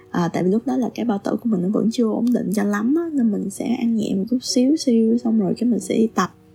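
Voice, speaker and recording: Over background music, a woman talks fairly quickly at fairly high pitch with ordinary pitch variation and hardly any pauses. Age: 30s. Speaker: podcast admin. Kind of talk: solo podcast monologue. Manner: halting.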